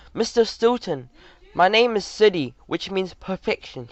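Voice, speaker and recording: In a put-on character voice, a man sounds squeaky and high-pitched, with lively intonation at a moderate pace. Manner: stern.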